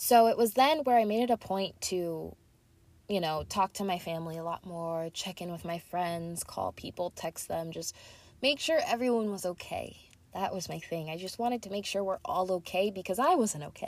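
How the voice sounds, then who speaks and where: In an animated tone with lively intonation, a woman speaks at a moderate pace on a very clean recording with a silent background. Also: medium pitch for a woman. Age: 20s. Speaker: podcaster. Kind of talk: casual chat. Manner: excitable.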